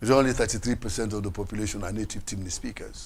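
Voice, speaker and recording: Somewhat breathy and animated in tone, a man speaks at a very fast pace. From Sierra Leone. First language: Krio. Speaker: political commentator. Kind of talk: panel discussion.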